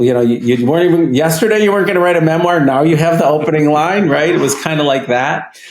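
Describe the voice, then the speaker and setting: A man's very fast speech at a fairly high pitch, with ordinary pitch variation and very even loudness, amid noticeable background noise and audible room echo. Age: 60s. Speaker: psychiatrist and trauma expert. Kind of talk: casual chat.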